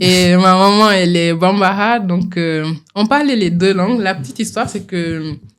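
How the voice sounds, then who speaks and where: A woman speaks at a fairly slow pace. Her medium pitch shows ordinary variation. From Senegal (Kolda, Tambacounda). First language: Pulaar (Fula) (speaking French). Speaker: doctoral student in acoustics. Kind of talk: podcast interview. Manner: hesitant, with fillers.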